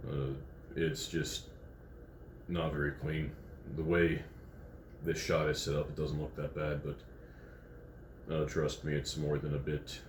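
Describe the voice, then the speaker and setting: With vocal fry and a very deep, low pitch, a man speaks at a very slow pace with fairly even intonation, long, frequent pauses, and audible room echo. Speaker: food review vlogger. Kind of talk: casual vlog commentary. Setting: hotel room. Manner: halting, many fillers.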